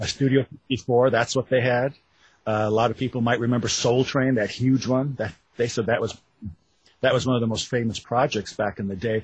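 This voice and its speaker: Somewhat breathy, a man speaks at a fairly quick pace and a medium pitch in a flat monotone. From Wisconsin. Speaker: author. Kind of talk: interview.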